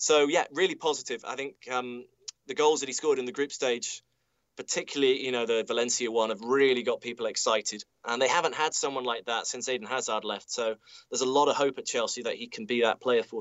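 A man with a British accent at a very fast pace, medium in pitch with ordinary variation and big swings in loudness. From UK. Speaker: football commentator. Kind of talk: football analysis. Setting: remote link from stadium commentary studio.

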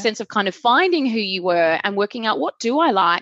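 In a dry, close recording with no echo and a quiet background, a woman with an unremarkable speaking voice talks fairly quickly at a fairly high pitch. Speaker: podcast host and performance coach. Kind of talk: interview conversation.

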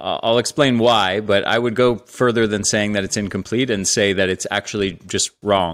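A man speaks in a normal speaking voice, fairly low in pitch, at a moderate pace with hardly any pauses and ordinary pitch variation. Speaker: health author and podcaster. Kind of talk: interview.

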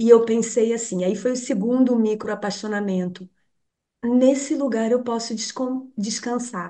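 Pausing long and often, a woman speaks at a fairly slow pace with a fairly high pitch, fairly even intonation and a dark, mellow tone. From Brazil, Rio de Janeiro. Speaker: meditation teacher. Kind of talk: casual interview.

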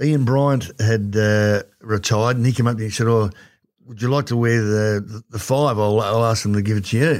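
With an Australian accent, a man talks at a moderate pace in a medium pitch and fairly even intonation, recorded very cleanly against a silent background. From Werribee, Victoria, Australia. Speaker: former footballer. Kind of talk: casual interview chat.

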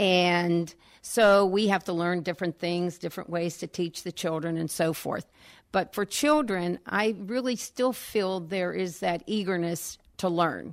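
Against a very clean recording with a silent background, a woman with an American accent uses a normal speaking voice, fairly low in pitch with ordinary variation, at a fairly slow pace. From Pittsburgh area, Pennsylvania. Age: 60s. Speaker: first grade teacher. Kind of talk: radio interview. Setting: radio studio.

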